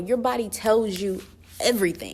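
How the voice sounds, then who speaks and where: On a very clean recording with a silent background, a woman uses a normal speaking voice at a fairly slow pace with ordinary pitch variation. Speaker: vlogger. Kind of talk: casual Q&A vlog. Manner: informal, many fillers.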